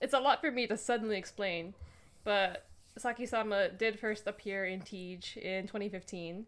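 A woman's medium-pitched, ordinary speaking voice, at a moderate pace with ordinary pitch variation. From Canada. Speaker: podcast co-host. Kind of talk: casual chat.

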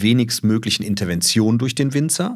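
A man's plain, everyday voice with ordinary pitch variation at a moderate pace. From Düsseldorf, Germany. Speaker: wine importer and family business owner. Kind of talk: casual interview.

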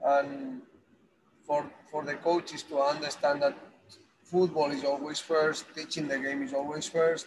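The speaker has a Spanish accent and a fairly slow pace. The intonation stays monotone and flat. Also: man, fairly high pitch for a man. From Spain. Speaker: football academy director. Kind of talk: interview. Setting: on a bus. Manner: halting.

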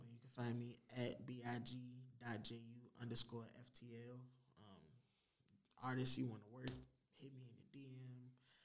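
A man's medium-pitched, monotone, flat delivery at a very slow pace, with big swings in loudness and audible room echo. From Richmond, Virginia (East End). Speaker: rapper. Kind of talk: casual chat. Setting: studio.

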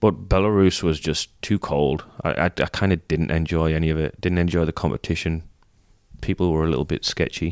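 With an English accent, a man speaks at a fairly quick pace in a very deep, low voice, his intonation fairly even and his loudness very even, on a dry, close, very clean recording with no echo and a silent background. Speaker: retired gymnast and coach. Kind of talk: casual chat.

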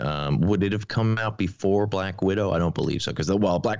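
Speaking very fast, a man with a very deep, low voice and vocal fry uses ordinary pitch variation. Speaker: podcast guest and film fan. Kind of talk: casual chat.

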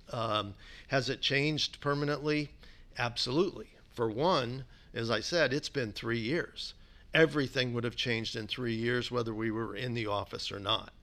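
Bright and sharp in tone, a man talks at a medium pitch with ordinary pitch variation. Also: moderate pace. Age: 60s. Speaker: business executive. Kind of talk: interview.

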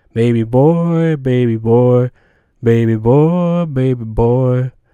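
A man puts on a character voice at medium pitch, speaking at a very slow pace. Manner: eerie, repetitive.

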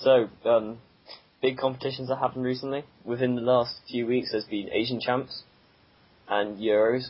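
Against noticeable background noise, a man talks at a moderate pace and medium pitch with monotone, flat intonation. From southwest England. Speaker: podcast co-host. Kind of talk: casual chat.

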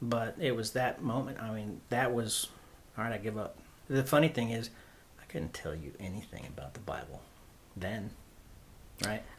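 With an American accent and vocal fry, a man at medium pitch speaks at a moderate pace in lively intonation, taking long, frequent pauses. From Oklahoma. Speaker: guest sharing faith testimony. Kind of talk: testimony.

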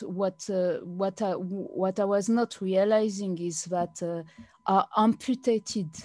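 A woman in a French accent, medium-pitched, very slow, with a dark, mellow tone, fairly even intonation and a dry, close sound with no echo. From France. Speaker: blogger. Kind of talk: interview. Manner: halting.

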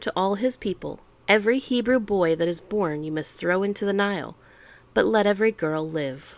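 In a normal speaking voice, a woman at medium pitch talks at a fairly quick pace with ordinary pitch variation. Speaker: podcast host reading the Bible. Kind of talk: scripture audiobook reading.

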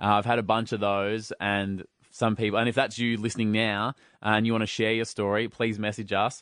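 Speaking with an Australian accent at a fairly quick pace, a man keeps a fairly low pitch, monotone, flat intonation and very even loudness. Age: 30s. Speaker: radio host and podcaster. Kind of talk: casual chat.

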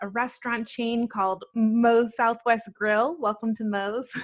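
This is a woman with an American accent and an unremarkable speaking voice, pitched fairly high. She talks at a moderate pace against a quiet background. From New Jersey and Atlanta, US. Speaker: spiritual shop owner. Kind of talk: interview.

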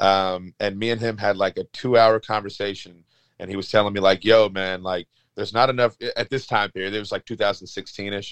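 Man's fairly low voice, fairly quick, in a monotone, flat intonation, with a dry, close sound and no echo. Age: 30s. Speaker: wrestling referee. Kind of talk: casual interview.

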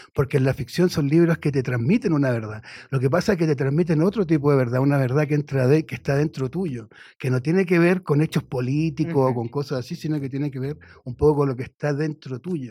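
Very fast and fairly high-pitched, a man speaks with a dark, mellow tone and ordinary pitch variation. The recording is very clean, with a silent background. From Chile. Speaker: writer and journalist. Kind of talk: radio interview. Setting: radio studio.

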